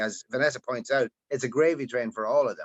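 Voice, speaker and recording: In an Irish accent, a man with a fairly high pitch speaks with a dry, close sound and no echo. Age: 60s. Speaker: musician. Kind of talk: casual chat.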